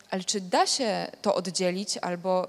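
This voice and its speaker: A woman is speaking. She has a Polish accent. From Szczecin, Poland. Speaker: debate moderator. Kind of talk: moderated panel debate. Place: hall. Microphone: handheld.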